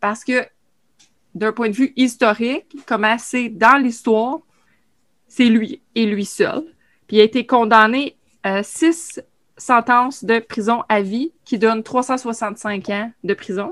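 A fairly high-pitched woman at a very slow pace, with ordinary pitch variation, long, frequent pauses and a dry, close sound with no echo. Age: 40s. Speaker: podcast co-host. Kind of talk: casual chat. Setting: video call.

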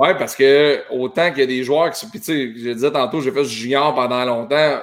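A man talks at a fairly slow pace in a plain, everyday voice. His pitch is fairly high, with ordinary variation. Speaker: talk show host. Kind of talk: casual chat.

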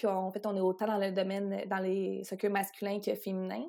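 A woman's dark, mellow tone comes through as she talks at a moderate pace. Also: very clean recording, silent background. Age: 20s. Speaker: sports lawyer and athlete agent. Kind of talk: interview.

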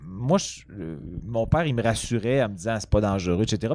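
A man speaks with very wide pitch swings. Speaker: comedian. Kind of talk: casual chat.

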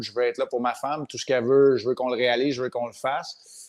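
A man speaks fairly quickly in a Quebec accent, his medium pitch following a fairly even intonation. The recording is very clean, with a silent background. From Quebec, Montreal. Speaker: retired hockey goaltender. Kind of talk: casual interview.

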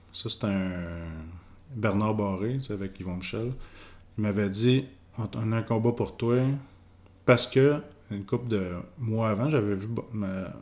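Recorded very cleanly against a silent background, a man with a medium pitch speaks at a fairly slow pace with ordinary pitch variation and long, frequent pauses. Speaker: retired boxer. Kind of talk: casual interview.

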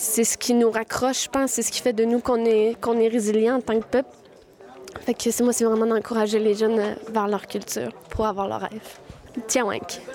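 A woman with a fairly high pitch talks at a moderate pace in a monotone, flat intonation. Noticeable background noise can be heard. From Quebec, Wendake. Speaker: language and culture project manager. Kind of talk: interview testimony.

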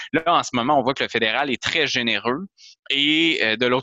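A man speaks at a fairly quick pace and a medium pitch. His is a plain, everyday voice. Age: 30s. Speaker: member of parliament. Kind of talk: interview.

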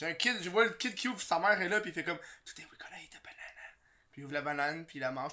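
Words come at a very fast pace. The speaker has a Quebec accent. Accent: Québécois French. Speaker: podcast host. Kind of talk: casual chat. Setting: studio.

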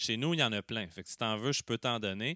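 A man with a Quebec accent and a bright, sharp tone, in a dry, close sound with no echo and a very clean recording with a silent background. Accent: Québécois French. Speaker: soil science teacher. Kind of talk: explanatory chat.

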